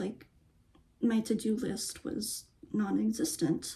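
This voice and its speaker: A woman's fairly high voice with a dark, mellow tone at a very slow pace. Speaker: lifestyle vlogger and dancer. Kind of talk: casual vlog chat. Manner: halting, many fillers.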